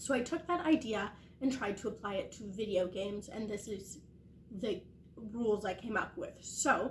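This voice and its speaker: A woman's fairly high voice comes across somewhat breathy as she talks at a moderate pace. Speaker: gaming content creator. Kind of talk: casual vlog update.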